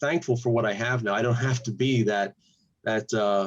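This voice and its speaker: Male voice at a medium pitch, an unremarkable speaking voice with ordinary pitch variation. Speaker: pastor and channel host. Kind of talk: interview.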